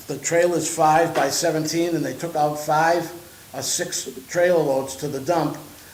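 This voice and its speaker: A man is talking. Audible room echo and noticeable background noise surround his voice. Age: 70s. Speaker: property owner, landlord. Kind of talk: public comment at a village board meeting. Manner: halting, repetitive.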